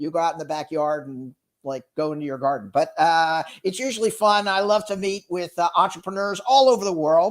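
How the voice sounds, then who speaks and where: Loud and high-pitched, a man with an American accent talks fairly quickly in an energetic, animated tone with hardly any pauses. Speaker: sales executive and entrepreneur. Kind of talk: casual interview chat.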